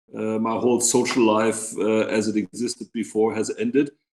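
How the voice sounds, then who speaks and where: A man at medium pitch, speaking at a moderate pace. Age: 60s. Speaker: bank CEO. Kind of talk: interview. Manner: halting, many fillers.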